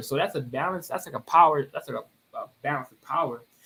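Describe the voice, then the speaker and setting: A man speaks at a very fast pace in a fairly high voice with a bright, sharp tone. His intonation is lively. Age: 20s. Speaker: poet. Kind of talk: live stream analysis. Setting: live stream. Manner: casual, halting.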